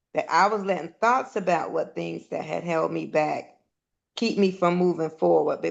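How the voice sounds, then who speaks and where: A woman speaks at a fairly quick pace, her voice showing vocal fry. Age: 60s. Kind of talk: casual chat.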